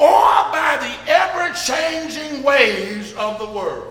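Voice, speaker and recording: With an Alabama accent, a man talks at a very slow pace in a raised, projected voice. Noticeable background noise and audible room echo fill the recording. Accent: Southern US (Alabama). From US South, Birmingham, Alabama. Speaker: pastor. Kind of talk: sermon. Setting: church.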